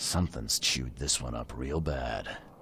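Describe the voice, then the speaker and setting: Putting on a raspy character voice with a very deep, low pitch, a man speaks at a moderate pace over clear background noise. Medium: video game. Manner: dry, laconic.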